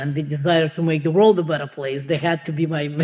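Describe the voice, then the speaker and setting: A woman speaks with a Russian accent. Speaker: entrepreneur and advocate for immigrant women. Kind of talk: podcast interview. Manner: halting, many fillers.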